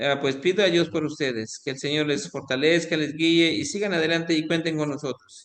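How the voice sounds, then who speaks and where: A man talks in a normal speaking voice at a fairly high pitch. The intonation is fairly even. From Mexico, Quintana Roo. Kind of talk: online lecture.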